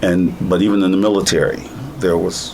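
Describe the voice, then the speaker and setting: In an American accent, a man speaks at a moderate pace with a very deep, low pitch and ordinary pitch variation. Audible room echo and noticeable background noise are present. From United States. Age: 60s. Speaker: plaintiff in a civil rights case. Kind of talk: interview.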